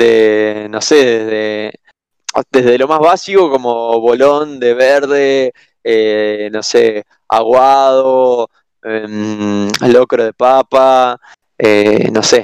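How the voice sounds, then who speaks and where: A man's medium-pitched voice in a Rioplatense accent, very slow, with fairly even intonation and a dry, close sound with no echo. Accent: Argentine Rioplatense Spanish. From Argentina. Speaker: exchange student guest. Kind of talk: casual chat.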